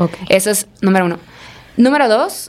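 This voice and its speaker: With a Mexican accent, a woman speaks at fairly high pitch. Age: 20s. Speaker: entrepreneur. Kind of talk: casual chat. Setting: studio.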